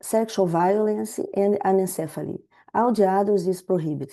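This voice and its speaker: Against a quiet background, a woman with a Portuguese accent talks at a fairly slow pace, her medium pitch and dark, mellow tone carried by fairly even intonation. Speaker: public health researcher. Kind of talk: webinar presentation. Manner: halting.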